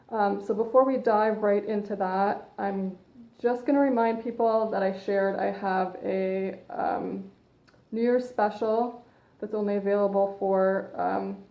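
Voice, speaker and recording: With a Canadian accent, a woman speaks at a fairly slow pace in a medium pitch, her intonation fairly even and the room echo audible. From Canada. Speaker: personal trainer. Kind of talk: live stream talk. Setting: Facebook live broadcast. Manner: loud. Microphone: phone mic, hard to hear.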